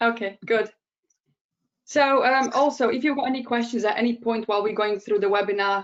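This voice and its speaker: A woman talks at a fairly quick pace with a Bosnian accent. Her pitch variation is ordinary. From Bosnia and Herzegovina. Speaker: digital strategist. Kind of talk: webinar presentation. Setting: online webinar.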